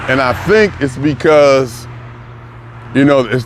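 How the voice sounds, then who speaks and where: A man's medium-pitched voice is heard with noticeable background noise. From US city he lives in. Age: 60s. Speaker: vlogger. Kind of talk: casual monologue. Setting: outdoors, walking in the city.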